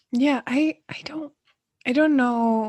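A somewhat breathy woman is heard in a dry, close sound with no echo over a quiet background. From Sweden. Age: 30s. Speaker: yoga teacher. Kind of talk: casual chat.

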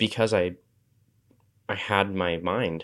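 The speaker has a West Coast accent. The recording is very clean, with a silent background. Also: man. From Washington State. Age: 20s. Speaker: makerspace founder. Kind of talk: casual chat.

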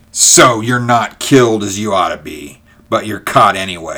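A man puts on a growling character voice at medium pitch, moving at a moderate pace with big swings in loudness. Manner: mocking, snarling.

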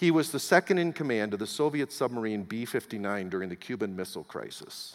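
A man with a normal speaking voice at a medium pitch talks at a fairly quick pace. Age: 60s. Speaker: pastor. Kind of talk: sermon.

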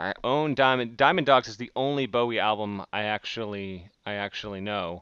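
In an American accent, a man with an ordinary speaking voice talks at a moderate pace and fairly low pitch, with ordinary pitch variation and hardly any pauses. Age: 30s. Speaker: podcast host. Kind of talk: casual chat.

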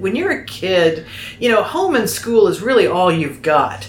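A woman with an American accent talks at a fairly slow pace. Noticeable background noise and audible room echo are present. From Oklahoma. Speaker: podcast host. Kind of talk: casual chat.

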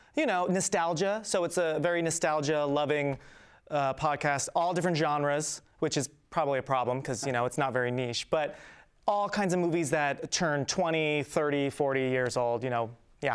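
A man with an American accent speaks in a normal speaking voice, fairly high-pitched for a man with ordinary pitch variation, at a moderate pace and very even loudness, on a very clean recording with a silent background. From South Jersey, Philadelphia suburbs. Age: 30s. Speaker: filmmaker and acting teacher. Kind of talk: casual interview.

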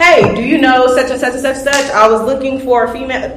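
A woman with a Southern US accent talks over noticeable background noise. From US South. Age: young. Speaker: young flooring worker. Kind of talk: panel discussion. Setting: live convention panel with audience.

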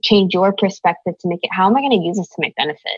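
Here a woman speaks at a medium pitch with ordinary pitch variation in a plain, everyday voice. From born in Korea, raised in the US. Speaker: singer-songwriter. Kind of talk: interview.

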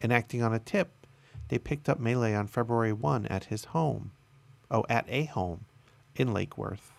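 On a very clean recording with a silent background, a man uses a normal speaking voice at medium pitch, with ordinary pitch variation and a moderate pace. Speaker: solo podcast host. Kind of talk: news reading with commentary. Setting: live stream recording.

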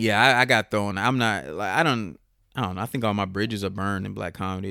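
A man speaks very fast with an American accent. His tone is bright and sharp, and the recording is very clean with a silent background. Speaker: comedian. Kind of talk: casual chat.

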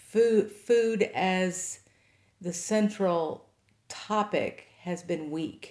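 A woman with an American accent and a medium pitch speaks at a very slow pace with fairly even intonation. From Kentucky, Henry County. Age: 50s. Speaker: farmer and nonprofit director. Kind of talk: interview.

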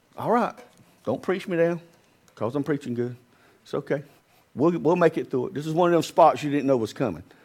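A man with an American accent talks at a fairly quick pace in a fairly high pitch, his intonation lively and his speech broken by long, frequent pauses. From US South. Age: 50s. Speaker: pastor. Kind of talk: sermon. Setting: church.

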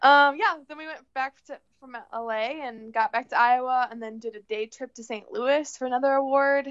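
A woman with a Midwestern US accent speaks at a moderate pace in a high voice, with ordinary pitch variation. She hardly pauses, and her loudness swings widely. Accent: US Midwest. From northern Illinois. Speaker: friend of the host. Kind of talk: casual chat. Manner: animated.

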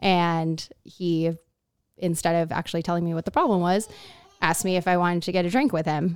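Spoken at a fairly quick pace with an American accent, this is an unremarkable speaking voice with fairly even intonation. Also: woman, fairly low pitch for a woman. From Miami, Florida. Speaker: lawyer and restaurant manager. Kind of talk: casual interview.

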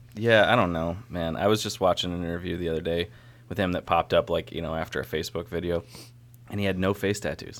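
This man talks at a very fast pace with an American accent, using a very deep, low pitch and fairly even intonation. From upstate New York (Syracuse). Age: 20s. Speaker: brewer. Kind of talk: casual chat.

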